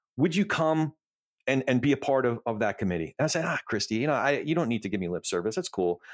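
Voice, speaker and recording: In a very clean recording with a silent background and a dry, close sound with no echo, a man with an American accent speaks very fast, using vocal fry and very wide pitch swings. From US Northeast, New Jersey. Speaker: podcast host. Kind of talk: casual chat.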